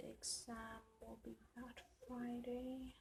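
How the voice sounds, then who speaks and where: A woman is speaking. Noticeable background noise sits behind her voice. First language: Afrikaans. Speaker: planner YouTuber. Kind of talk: casual chat. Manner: loud.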